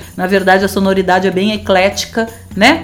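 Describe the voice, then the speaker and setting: A woman's medium-pitched voice at a fairly quick pace over noticeable background noise. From Rio Grande do Sul, southern Brazil. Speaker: radio host. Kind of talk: casual radio chat.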